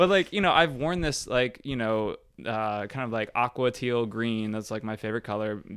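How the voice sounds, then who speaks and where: At a moderate pace, a man talks in a normal speaking voice, medium in pitch with ordinary pitch variation. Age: 30s. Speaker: exercise physiologist and mobility coach. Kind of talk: casual chat. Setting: home recording.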